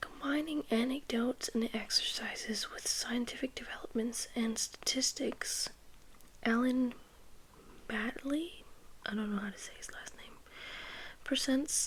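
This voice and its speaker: A woman speaks at a fairly slow pace in a high pitch, with ordinary pitch variation. Her loudness swings widely. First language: not English. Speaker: ASMR creator. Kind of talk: ASMR reading aloud. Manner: soft-spoken.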